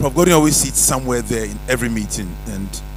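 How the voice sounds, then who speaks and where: Audible room echo and noticeable background noise around a man talking at a moderate pace. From Ghana. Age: 60s. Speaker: retired pharmacology professor, guest speaker. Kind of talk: keynote speech. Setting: auditorium with audience.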